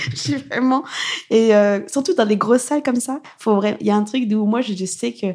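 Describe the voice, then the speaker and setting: A woman talks at a very fast pace in a fairly high voice. Her tone is animated, with ordinary pitch variation. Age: 30s. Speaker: stand-up comedian. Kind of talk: casual chat.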